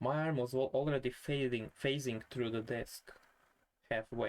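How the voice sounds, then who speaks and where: A man's medium-pitched voice with a non-native accent, fairly even intonation and a fairly slow pace. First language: not English. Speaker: vlogger. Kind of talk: casual vlog monologue. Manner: halting.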